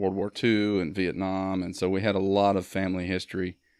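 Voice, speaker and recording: Over a quiet background, a man with a Mississippi accent and a very deep, low pitch speaks at a fairly quick pace with monotone, flat intonation. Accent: Mississippi Southern. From US South, Mississippi (Starkville). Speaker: Marine veteran and filmmaker. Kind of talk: podcast interview.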